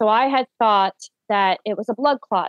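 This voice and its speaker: Her voice sits at a medium pitch as this woman talks at a moderate pace. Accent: Newfoundland. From Newfoundland, Canada (St. John's). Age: 30s. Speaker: stay-at-home mother, vaccine injury sufferer. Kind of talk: interview testimony.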